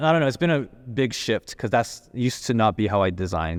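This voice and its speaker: A man speaks very fast with lively intonation. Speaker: entrepreneur and designer. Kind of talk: casual chat. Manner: getting softer.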